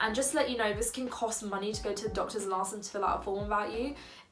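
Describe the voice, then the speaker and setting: With music in the background, a woman speaks in a London accent with fairly even intonation. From London, England. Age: 20s. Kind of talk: casual talk to camera.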